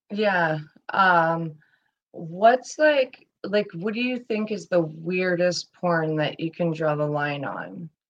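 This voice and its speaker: A woman with a fairly low voice speaks at a very slow pace, her pitch varying in an ordinary way. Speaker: podcast host, guest. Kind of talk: casual chat.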